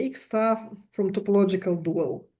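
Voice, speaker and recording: At a fairly slow pace, a woman talks with a non-native accent. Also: quiet background. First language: not English. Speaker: mathematics lecturer. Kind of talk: lecture. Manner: halting, many fillers.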